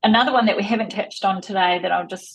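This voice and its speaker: A woman with a New Zealand accent sounds somewhat breathy, her pitch varying in an ordinary way. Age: 50s. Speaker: tech industry executive. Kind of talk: interview. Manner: fast.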